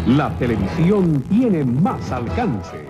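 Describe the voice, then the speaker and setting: A man's voice is joined by clear music in the background. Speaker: voice-over announcer. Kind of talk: TV station ID promo. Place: studio. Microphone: studio mic.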